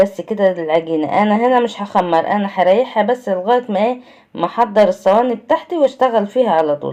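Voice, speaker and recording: With an Egyptian accent, a woman speaks at a moderate pace with hardly any pauses, her medium pitch carrying lively intonation and a dark, mellow tone. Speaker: cooking channel host. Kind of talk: cooking tutorial. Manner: conversational.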